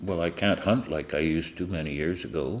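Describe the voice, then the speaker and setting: A man speaks with a very deep, low pitch and some vocal fry. His intonation stays fairly even at a moderate pace. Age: 70s. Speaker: interviewee in a documentary on aging. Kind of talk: documentary interview.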